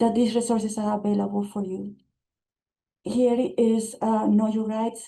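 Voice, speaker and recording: This woman talks at a fairly quick pace in a fairly high, somewhat breathy voice with a dark, mellow tone and monotone, flat intonation. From immigrant to US. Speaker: city immigrant affairs official. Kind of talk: webinar presentation.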